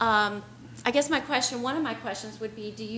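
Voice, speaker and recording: Amid noticeable background noise and audible room echo, a woman talks at a fairly quick pace with a fairly high pitch. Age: 60s. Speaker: resident giving public comment. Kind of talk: public comment at a meeting. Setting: public meeting. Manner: halting.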